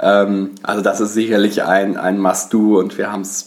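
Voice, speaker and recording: A man talks in a monotone, flat intonation against noticeable background noise. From western Germany, Bonn. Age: 20s. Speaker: travel podcast co-host. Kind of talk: casual chat. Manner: hesitant, many filler sounds.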